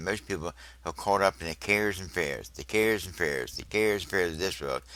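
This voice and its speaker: Very fast talk from a man with a very deep, low pitch, a bright, sharp tone, vocal fry and ordinary pitch variation. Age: 70s. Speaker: religious video teacher. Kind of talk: religious teaching monologue.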